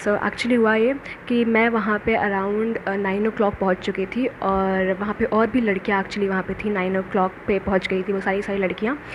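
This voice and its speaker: A woman's monotone, flat delivery with hardly any pauses, amid noticeable background noise. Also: medium pitch for a woman. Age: 20s. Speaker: cabin crew job candidate / vlogger. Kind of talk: casual vlog, interview experience recount.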